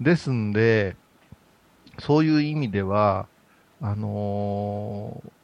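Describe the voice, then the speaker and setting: At a very slow pace, a man with a fairly low pitch speaks with long, frequent pauses and big swings in loudness. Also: ordinary pitch variation. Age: 50s. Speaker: Buddhist priest. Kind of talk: casual chat. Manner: laughs often.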